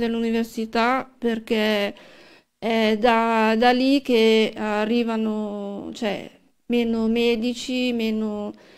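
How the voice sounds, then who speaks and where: A woman's very slow pace comes through over a quiet background. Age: 50s. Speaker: political candidate and healthcare worker; election candidate. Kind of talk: studio interview. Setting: TV/radio studio. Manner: halting. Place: studio. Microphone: studio mic.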